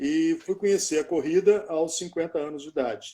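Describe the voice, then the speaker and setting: A man's voice with a dark, mellow tone. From Minas Gerais, Brazil. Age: 60s. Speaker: journalist and ultramarathon runner. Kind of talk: casual chat.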